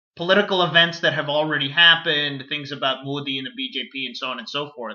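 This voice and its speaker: Talking at a very fast pace, a man with an American accent uses a fairly high pitch, ordinary pitch variation and big swings in loudness. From United States, Indian-American family. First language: Kannada. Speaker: video blogger. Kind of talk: casual monologue to camera.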